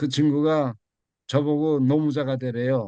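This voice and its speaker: A man speaks with a dark, mellow tone. His pitch sits fairly high. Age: 80s+. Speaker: university president emeritus, lecturer. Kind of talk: lecture. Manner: halting.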